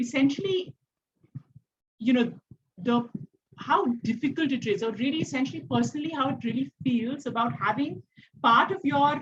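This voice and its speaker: Soft-spoken, a woman talks at a high pitch with lively intonation. Her pace is moderate. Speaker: panelist. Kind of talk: discussion panel. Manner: halting.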